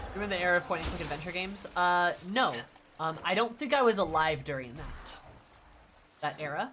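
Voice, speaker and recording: With music in the background, a woman with a Midwestern accent and a fairly low pitch talks at a fairly quick pace, broken by long, frequent pauses. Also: lively intonation. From US Midwest. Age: 20s. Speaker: video game streamer. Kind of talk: casual chat. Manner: halting.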